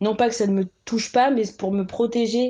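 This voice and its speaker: A woman's dark, mellow tone with fairly even intonation over a quiet background. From France, Caen (Normandy), adopted from Burkina Faso at two. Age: 20s. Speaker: instagram account creator. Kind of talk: personal testimony in interview. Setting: remote recording. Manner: halting, many fillers and repetitions.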